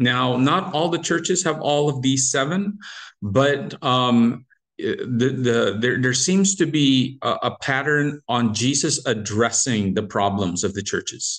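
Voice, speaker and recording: A man speaks at a fairly slow pace with lively intonation. The background is quiet. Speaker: Bible study teacher. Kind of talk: lecture. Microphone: video call.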